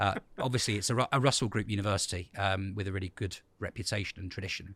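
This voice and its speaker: A man with a southern English accent, fairly low pitch and fairly even intonation, speaking at a very fast pace on a very clean recording with a silent background. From England, Ipswich (Suffolk). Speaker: school principal. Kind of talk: interview. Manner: hesitant with fillers.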